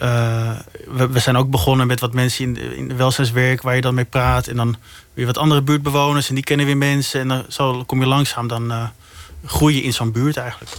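At a fairly quick pace, the speech comes out monotone and flat. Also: man, medium pitch for a man. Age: 30s. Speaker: investigative journalist. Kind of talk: interview. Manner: halting, many repetitions.

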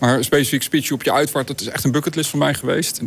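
A man speaks at a very fast pace with fairly even intonation. Noticeable background noise runs underneath. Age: 40s. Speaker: hologram company owner. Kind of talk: interview. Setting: studio loft.

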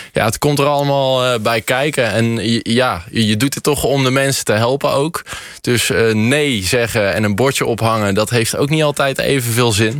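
At a moderate pace, a man talks in a medium-pitched voice with ordinary pitch variation and very even loudness. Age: 20s. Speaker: shoemaker. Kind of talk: radio interview. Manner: hesitant, many fillers.

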